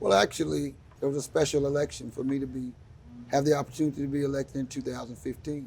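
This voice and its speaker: A man with an American accent, talking very fast, fairly high-pitched and a little breathy, with fairly flat intonation. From Tulsa, Oklahoma. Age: 60s. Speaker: state senator. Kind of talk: interview. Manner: halting, with fillers.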